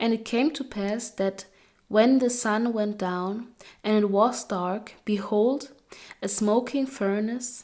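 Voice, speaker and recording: A woman with a non-native accent speaks very slowly in a fairly high pitch, her tone dark and mellow and her intonation fairly even. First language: not English. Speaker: Bible reading video creator. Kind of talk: casual chat; reading aloud. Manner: halting on long names.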